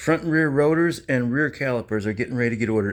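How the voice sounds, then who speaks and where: Over a quiet background, a man talks very fast at medium pitch with ordinary pitch variation. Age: 60s. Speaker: classic car hobbyist vlogger. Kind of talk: casual garage walkaround vlog. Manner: rambling, halting.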